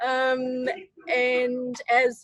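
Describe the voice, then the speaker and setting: A woman talks with an Australian accent. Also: dry, close sound with no echo. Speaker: junior front-end developer, student. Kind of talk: self-introduction in class.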